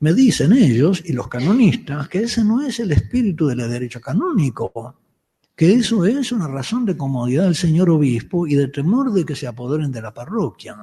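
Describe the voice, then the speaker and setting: In a dark, mellow tone, a man speaks at a fairly high pitch with very wide pitch swings. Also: moderate pace. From Uruguay, Montevideo. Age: 70s. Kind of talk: lecture. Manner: halting, with frequent restarts.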